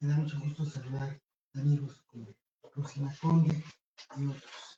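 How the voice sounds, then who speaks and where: Speaking at a moderate pace, a man with a fairly high pitch and a dark, mellow, somewhat breathy tone keeps a monotone, flat intonation while his loudness swings widely. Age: 70s. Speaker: writer presenting a book. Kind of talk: book presentation speech. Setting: bookstore event with audience. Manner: formal.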